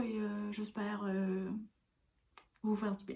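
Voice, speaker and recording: Her tone cheerful and animated, a woman speaks. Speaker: spiritual/personal development vlogger. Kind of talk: casual vlog monologue. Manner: cheerful, animated.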